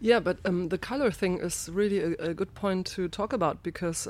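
Speaking with a German accent, a woman moves at a fairly quick pace. Her pitch is medium with ordinary variation. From Germany, Rheinhessen (Ingelheim). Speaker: winemaker. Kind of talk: interview.

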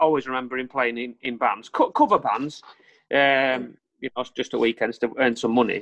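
A man with a Lancashire accent speaks at a moderate pace. His voice sits at medium pitch with ordinary pitch variation. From northern England, Lancaster. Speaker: rock band frontman. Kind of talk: casual chat.

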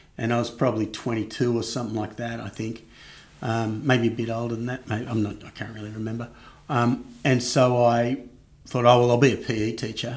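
In a monotone, flat delivery, a man with a medium pitch speaks while his loudness swings widely. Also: moderate pace. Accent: Australian. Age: 50s. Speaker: marketing executive. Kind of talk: interview.

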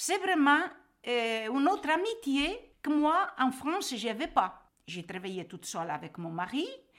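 Talking at a fairly slow pace, a woman with a high voice swings very widely in pitch. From Portugal. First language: Portuguese (speaking French). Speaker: emigrant recounting her life. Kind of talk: testimony.

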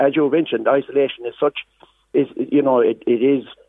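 A man with a rural Irish accent at a fairly quick pace. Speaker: farmers' representative. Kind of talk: radio interview. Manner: halting, repetitive.

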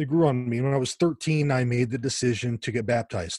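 A man with a somewhat breathy voice at medium pitch is heard against a quiet background, in a dry, close sound with no echo. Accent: American. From US West Coast, Los Angeles area. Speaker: author and evangelist. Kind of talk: interview conversation.

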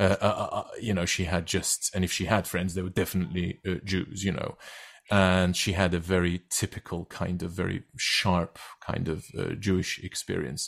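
A man with a Turkish accent speaks in a very deep, low pitch and a monotone, flat intonation at a moderate pace, in a very clean recording with a silent background. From Turkey. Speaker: actor and writer. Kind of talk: interview conversation. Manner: halting, with many fillers and repetitions.

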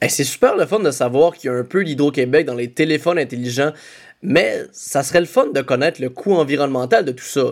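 A man talks at a fairly quick pace in a fairly high pitch with ordinary pitch variation, in a plain, everyday voice. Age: 20s. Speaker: comedian and podcast co-host. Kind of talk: scripted podcast narration.

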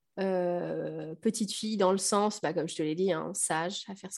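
A woman speaks in a normal speaking voice. Her pace is moderate. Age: 30s. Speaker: primary school teacher and mother. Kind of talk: personal testimony in interview.

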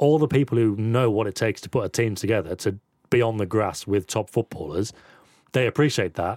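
A man with a normal speaking voice and a fairly low pitch speaks at a fairly quick pace with ordinary pitch variation, the recording very clean and the background silent. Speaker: football pundit. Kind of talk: casual football chat.

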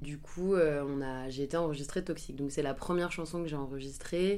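With a dark, mellow tone and a very deep, low pitch, a woman speaks with fairly even intonation as room echo is audible. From western France (Angers). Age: 20s. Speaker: singer. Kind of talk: interview. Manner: hesitant, many fillers.

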